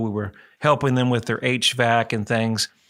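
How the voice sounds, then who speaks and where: This man has a medium pitch and a bright, sharp tone. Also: very clean recording, silent background. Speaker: radio host and real estate broker. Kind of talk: radio talk show. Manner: talkative, chatty.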